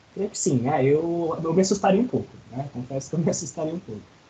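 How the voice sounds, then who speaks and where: Speaking at a very fast pace, a man uses lively intonation, his tone dark and mellow and his pitch fairly high. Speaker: college lecturer. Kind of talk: online lecture. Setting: video call class.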